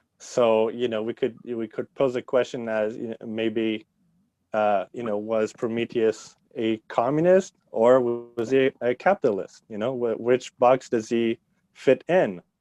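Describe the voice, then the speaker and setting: Music plays in the background. A man talks at a fairly slow pace with ordinary pitch variation. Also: medium pitch for a man. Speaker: history teacher. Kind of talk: podcast interview. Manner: halting, many fillers.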